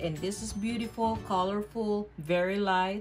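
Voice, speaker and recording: A woman at a fairly slow pace, with fairly even intonation and faint music in the background. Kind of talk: tutorial. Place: kitchen. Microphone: phone near.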